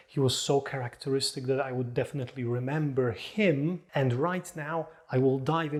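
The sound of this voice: Unforced reading voice, nothing more.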